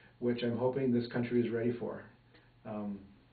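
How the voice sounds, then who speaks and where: In a room with audible echo, a man with an American accent speaks in a monotone, flat intonation. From New Mexico and rural Minnesota. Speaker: interviewee, former missionary. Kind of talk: interview. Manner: hesitant, many fillers.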